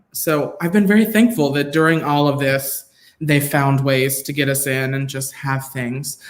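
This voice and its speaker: At a moderate pace, a man with an unremarkable speaking voice and an American accent speaks in a fairly high pitch with ordinary pitch variation. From South Georgia, US. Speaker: performing artist. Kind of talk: casual chat.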